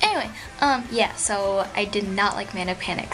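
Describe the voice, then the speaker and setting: In a room with audible echo, a woman speaks over noticeable background noise. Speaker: beauty vlogger. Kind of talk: product review vlog. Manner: fast; casual with many fillers.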